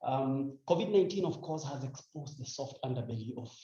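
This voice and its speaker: A man's medium-pitched voice, somewhat breathy and dark and mellow in tone, with audible room echo. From Kenya, Rift Valley. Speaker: WHO health official, panel speaker. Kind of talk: panel speech. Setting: indoor breakfast event at ambassador's residence. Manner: halting, many fillers.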